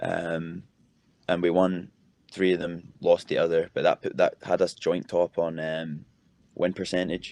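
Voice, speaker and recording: With a strong Scottish accent, a man speaks at a fairly slow pace. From Scotland, Edinburgh. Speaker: college footballer. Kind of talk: interview.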